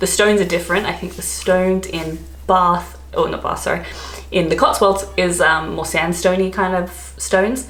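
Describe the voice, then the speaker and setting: Noticeable background noise, audible room echo and a moderate pace. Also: woman. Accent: Australian. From Australia. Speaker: travel and expat vlogger. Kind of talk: casual vlog talk. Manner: chatty, filler-heavy (um, like).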